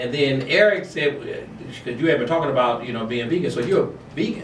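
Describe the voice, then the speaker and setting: Amid noticeable background noise and audible room echo, a man speaks at a fairly quick pace and a fairly high pitch, with lively intonation and an animated tone. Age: 60s. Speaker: talk show host. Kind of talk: casual chat.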